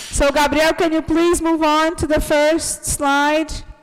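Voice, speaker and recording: A woman speaks at a fairly slow pace in a high, animated voice. There is noticeable noise in the background. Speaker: English teacher. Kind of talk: online class. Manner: loud.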